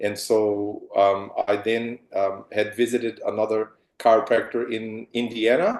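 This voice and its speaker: A man speaking at a fairly slow pace, medium in pitch, with monotone, flat intonation and a quiet background. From Brazil. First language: Portuguese. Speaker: chiropractor. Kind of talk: interview on a video call.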